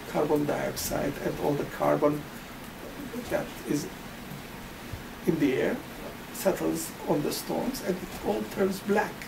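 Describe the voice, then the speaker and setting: Noticeable noise fills the background. The words come at a fairly slow speed. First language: not English. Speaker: family physician. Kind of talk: interview. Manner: halting.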